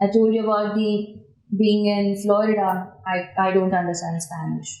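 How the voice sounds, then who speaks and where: A woman with an Indian accent, medium pitch, flat monotone intonation and a moderate pace, with audible room echo. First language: Indian language. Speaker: construction project engineer. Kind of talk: podcast interview.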